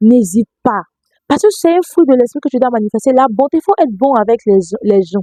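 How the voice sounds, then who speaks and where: On a dry, close recording with no echo, a woman speaks at a high pitch and moderate pace, with very wide pitch swings and a dark, mellow tone. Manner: soft-spoken.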